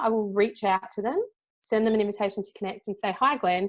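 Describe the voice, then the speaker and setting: This woman has an Australian accent and a medium pitch. She talks at a very fast pace. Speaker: LinkedIn and personal branding consultant. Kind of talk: presentation. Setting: conference talk with audience. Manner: conversational.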